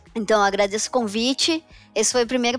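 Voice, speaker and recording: Music plays in the background as a woman speaks. Her pitch is fairly high and her intonation fairly even. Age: 20s. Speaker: tax accounting manager. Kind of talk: casual chat.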